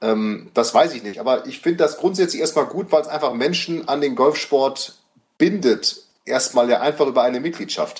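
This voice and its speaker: At a moderate pace, a man speaks with ordinary pitch variation in an ordinary speaking voice. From Münster, Germany. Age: 30s. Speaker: golf coach. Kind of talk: casual chat.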